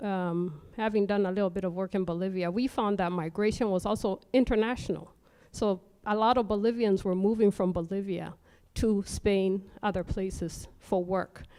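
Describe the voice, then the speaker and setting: A woman's dark, mellow tone comes through with fairly even intonation in a very clean recording with a silent background. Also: medium pitch for a woman, moderate pace. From Kenya. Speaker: conference audience member asking questions. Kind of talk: Q&A question.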